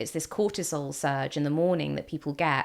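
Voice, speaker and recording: A voice with a British accent and fairly even intonation comes through on a very clean recording with a silent background. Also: woman. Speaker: mental health vlogger. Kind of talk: personal testimony. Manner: casual with fillers and restarts.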